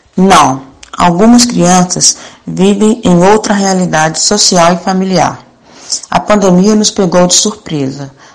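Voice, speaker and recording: Over noticeable background noise, a woman speaks at a very slow pace and a medium pitch. Her loudness is very even, and her pitch variation is ordinary. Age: 50s. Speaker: homemaker and mother.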